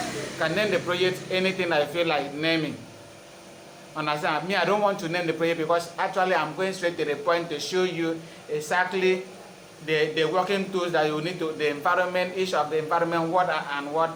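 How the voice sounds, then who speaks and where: A man with a high pitch talks at a fairly quick pace in a monotone, flat delivery over noticeable background noise. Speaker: software instructor. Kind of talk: tutorial. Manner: halting, with fillers; not loud.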